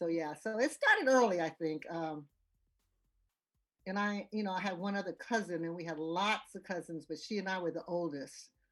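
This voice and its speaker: With music playing in the background, a woman talks at a moderate pace in a fairly low voice with ordinary pitch variation. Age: 70s. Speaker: retired educator. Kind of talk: interview.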